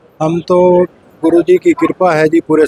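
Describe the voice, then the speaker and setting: The sound is dry and close, with no echo. A man speaks over noticeable background noise. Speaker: village head. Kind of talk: interview.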